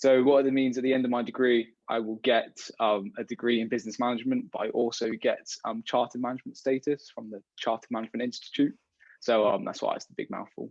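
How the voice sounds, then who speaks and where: With a British accent, a man talks at a very fast pace and medium pitch, his intonation fairly even but his loudness swinging widely, in a dry, close sound with no echo. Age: young. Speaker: degree apprentice. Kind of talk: casual interview. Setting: video call.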